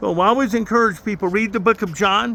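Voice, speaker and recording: A high-pitched man talks fairly quickly in a raised, projected voice with an animated tone. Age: 70s. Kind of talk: casual chat.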